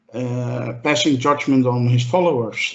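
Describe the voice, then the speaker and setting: Speaking very slowly with a non-native accent, a man uses ordinary pitch variation. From Europe. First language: not English. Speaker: podcast panelist. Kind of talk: casual chat. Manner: halting, many fillers.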